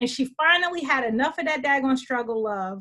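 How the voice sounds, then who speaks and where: With lively intonation, a woman speaks in a high pitch and a bright, sharp tone over a quiet background. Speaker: web show co-host. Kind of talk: casual discussion commentary. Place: home room. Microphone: video call.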